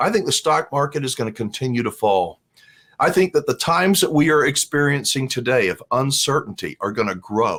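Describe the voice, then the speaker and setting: Lively intonation marks a man with an unremarkable speaking voice, talking at a medium pitch and a fairly quick pace. The recording is very clean with a silent background. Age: 60s. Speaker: RV vlogger. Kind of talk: casual commentary reading viewer comments. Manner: conversational.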